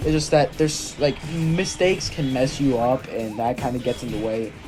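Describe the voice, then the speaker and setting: A man is speaking at a moderate pace. Behind him, music plays. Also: medium pitch for a man, ordinary pitch variation. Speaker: gaming youtuber. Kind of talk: video game review commentary. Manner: halting; casual.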